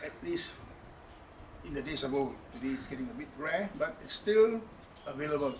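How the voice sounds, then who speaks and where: A fairly high-pitched man speaks at a moderate pace, with very wide pitch swings, big swings in loudness and long, frequent pauses, over noticeable background noise and audible room echo. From Malaysia, Malacca (Kristang Portuguese-Eurasian community). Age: 60s. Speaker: home cook, pickle maker, former fisherman. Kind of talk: cooking demonstration. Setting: wooden house in Malacca.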